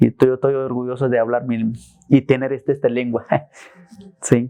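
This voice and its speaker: A man's dark, mellow tone holds a medium pitch, a moderate pace, and a monotone, flat intonation. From Mexico, Chiapas (Tenejapa). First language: Tzeltal (speaking Spanish). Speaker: former prisoner. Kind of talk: interview.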